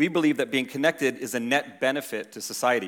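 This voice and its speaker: A normal speaking voice goes at a fairly quick pace on a very clean recording with a silent background. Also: man. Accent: American. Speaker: tech company executive. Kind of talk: conference speech.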